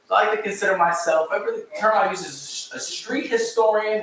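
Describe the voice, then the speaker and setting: A man delivers his words fairly quickly while noticeable noise fills the background. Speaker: local historian and author. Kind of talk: public lecture. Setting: live talk with audience, microphone, livestreamed. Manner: fast.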